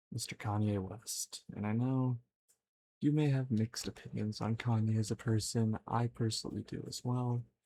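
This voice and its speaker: Fairly slow in pace, the speaker's delivery is soft-spoken. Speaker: ASMR creator. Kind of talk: ASMR show and tell.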